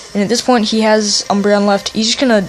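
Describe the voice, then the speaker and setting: Noticeable noise sits behind speech delivered fairly quickly. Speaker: gaming YouTuber. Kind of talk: gameplay commentary.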